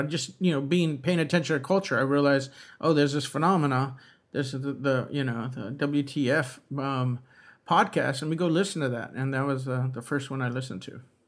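A man with a normal speaking voice and an American accent, at a fairly high pitch and fairly quick pace, with ordinary pitch variation on a very clean recording with a silent background. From US West Coast, East Los Angeles. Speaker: podcast co-host, writer and former bank robber. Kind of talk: interview.

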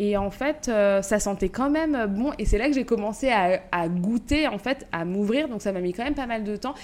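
Here is a woman with a plain, everyday voice. It sits fairly high, with ordinary pitch variation. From Paris suburbs, Val-de-Marne (94). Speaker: podcast co-host and café owner. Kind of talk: casual chat.

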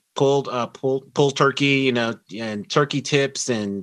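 Speaking with an American accent, a man uses a normal speaking voice with a medium pitch and ordinary pitch variation. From Denver, Colorado. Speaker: food writer and barbecue historian. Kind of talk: interview.

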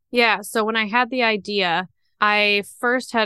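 With a slight Upper Midwest accent, a woman speaks at medium pitch in a bright, sharp tone. The sound is dry and close with no echo, over a quiet background. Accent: slight Minnesotan-Canadian-like Upper Midwest. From northern Wisconsin. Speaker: small business founder and inventor. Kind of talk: interview.

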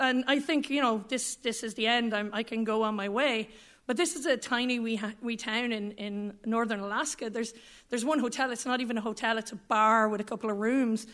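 Speaking with an Irish accent, a woman has a fairly high pitch and a fairly quick pace. Her intonation stays fairly even on a very clean recording with a silent background. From rural Ireland. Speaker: storyteller. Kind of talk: live storytelling. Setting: stage with audience.

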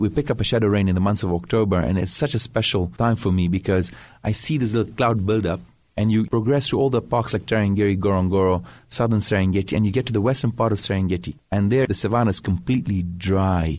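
A man with a Tanzanian accent speaks at a very fast pace and fairly low pitch. His pitch varies in an ordinary way, his loudness stays very even, and the recording is very clean with a silent background. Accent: Tanzanian English with British schooling. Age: 40s. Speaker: wildlife conservationist. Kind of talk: radio interview. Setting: studio.

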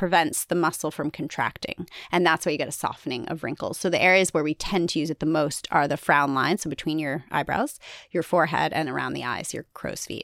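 Here a woman with an ordinary speaking voice talks at a fairly quick pace, her fairly low pitch moving with ordinary variation. The recording is very clean with a silent background, and the sound is dry and close with no echo. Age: 40s. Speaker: dermatologist. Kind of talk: expert interview.

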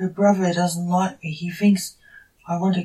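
The text is read aloud in a natural voice.

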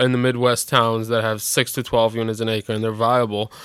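An American accent, a normal speaking voice, moderate pace. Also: man. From Chicago. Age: 30s. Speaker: podcast co-host. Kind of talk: casual chat.

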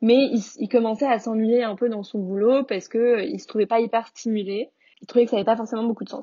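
At a fairly quick pace, a normal speaking voice keeps fairly even intonation. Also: woman, fairly high pitch for a woman. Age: 20s. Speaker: food entrepreneur. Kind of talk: interview.

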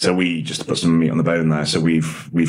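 Over noticeable background noise and audible room echo, a man talks at a very fast pace in a very deep, low pitch with monotone, flat intonation. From English Midlands (Nottinghamshire), born in Dublin. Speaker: coffee business founder. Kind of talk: interview.

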